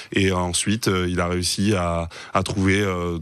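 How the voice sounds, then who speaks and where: A man speaks with a very deep, low pitch. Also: dry sound with no echo. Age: 20s. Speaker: carpenter and trainer; trainer. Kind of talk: interview; interview answer. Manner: halting. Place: studio. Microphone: studio mic.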